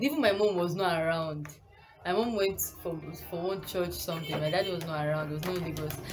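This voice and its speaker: Over clear background music, a woman speaks at a fairly low pitch with ordinary pitch variation. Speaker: vlogger. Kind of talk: casual vlog storytelling. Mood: animated, sometimes laughing. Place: home room. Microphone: phone near.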